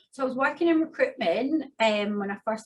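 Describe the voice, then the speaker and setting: A somewhat breathy voice speaks at a fairly quick pace with lively intonation. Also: woman. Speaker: migration agent. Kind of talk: interview.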